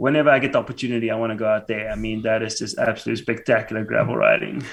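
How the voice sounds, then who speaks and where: Over noticeable background noise, a man with a South African accent talks very fast at a medium pitch, keeping his intonation fairly even. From South Africa, small town south of Johannesburg. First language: Afrikaans. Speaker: YouTube cycling creator, financial analyst. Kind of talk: podcast interview. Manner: hesitant, many fillers.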